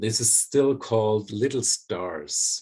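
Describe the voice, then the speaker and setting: A man talks with a German accent at a fairly low pitch. The background is quiet. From Germany. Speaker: psychologist and bioenergetic therapist. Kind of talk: conversation.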